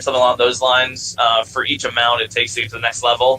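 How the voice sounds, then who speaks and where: This man's voice sits at a medium pitch. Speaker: gaming server admin running a workshop. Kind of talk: online workshop talk. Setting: voice chat. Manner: fast; rambling with many fillers.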